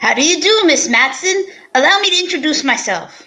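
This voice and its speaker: A woman in a put-on character voice speaks at an extremely high pitch and a fairly quick pace, with lively intonation and very even loudness. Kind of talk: 1940s radio acting. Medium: audio drama. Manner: formal, stiff, fussy.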